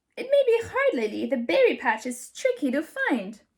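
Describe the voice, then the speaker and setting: A put-on character voice at a moderate pace. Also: woman, high pitch for a woman. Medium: read story.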